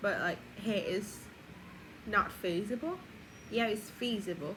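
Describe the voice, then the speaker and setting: A raised, projected voice delivered at a very slow pace. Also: woman. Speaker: vlogger. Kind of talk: personal video diary. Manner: casual, rambling with fillers.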